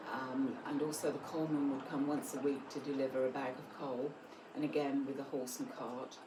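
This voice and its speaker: A woman with a South London accent, a very deep, low pitch and a moderate pace, amid noticeable background noise and audible room echo. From south London, England. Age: 70s. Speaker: grandmother telling life stories. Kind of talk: documentary interview, personal anecdotes.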